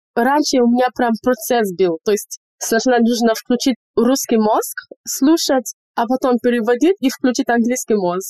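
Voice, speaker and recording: A woman with a slight Nigerian accent speaks at a fairly slow pace in a high pitch. Her tone is dark and mellow, and her loudness stays very even. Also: ordinary pitch variation, dry, close sound with no echo. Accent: slight Nigerian accent in Russian. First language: English (speaking Russian). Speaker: medical student and English teacher. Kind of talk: casual interview chat. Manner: animated.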